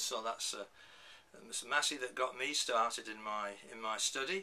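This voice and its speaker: There is noticeable background noise. A man with a medium pitch speaks with a northern English accent. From northern England. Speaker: professor. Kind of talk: lecture. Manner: halting.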